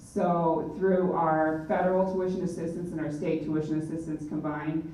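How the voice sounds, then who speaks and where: A woman talks with monotone, flat intonation in a very deep, low pitch. Noticeable background noise and audible room echo fill the recording. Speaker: National Guard representative. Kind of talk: presentation. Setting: public forum hall. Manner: fast.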